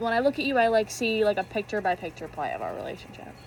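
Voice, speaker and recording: A woman with a fairly high pitch speaks at a very fast pace. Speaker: youtuber. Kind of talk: casual chat. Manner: halting.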